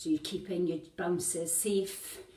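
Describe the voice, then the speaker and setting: Mumbling at a fairly slow pace, a woman speaks in a medium pitch amid audible room echo. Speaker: fitness instructor. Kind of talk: workout instruction. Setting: home workout video.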